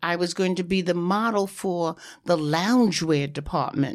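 A woman's medium-pitched voice in a New York accent, at a moderate pace with ordinary pitch variation, on a very clean recording with a silent background. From New York, Harlem. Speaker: former fashion model. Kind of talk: interview.

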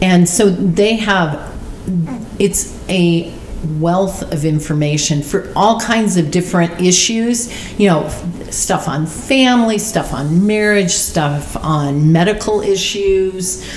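Noticeable background noise sits behind a woman with an American accent. She speaks very slowly at a medium pitch with ordinary pitch variation. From Arizona. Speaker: church member sharing testimony. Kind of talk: testimony; casual chat.

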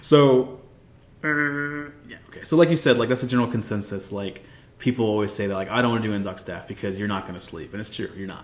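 A man with an American accent speaks very fast at a medium pitch, with ordinary pitch variation. Noticeable background noise and audible room echo fill the recording. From Texas, San Antonio. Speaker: navy officer. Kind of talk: casual chat.

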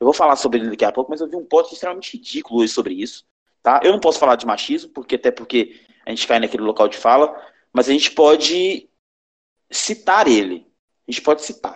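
This man talks at a very fast pace, his pitch fairly high and his intonation lively. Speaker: podcast host. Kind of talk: casual chat. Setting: remote recording from home.

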